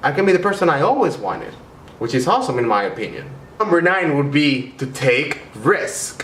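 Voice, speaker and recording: With a Spanish accent and an enthusiastic tone, a man talks at a fairly quick pace and fairly high pitch with lively intonation, amid noticeable background noise and audible room echo. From Venezuela. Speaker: YouTuber, international student. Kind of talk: vlog tips video. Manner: casual, enthusiastic.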